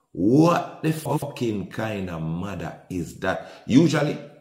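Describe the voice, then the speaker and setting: An animated man in a Jamaican accent, with very wide pitch swings, audible room echo and a quiet background. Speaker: podcast host, commentator. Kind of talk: commentary on viral video. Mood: indignant, animated. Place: home room.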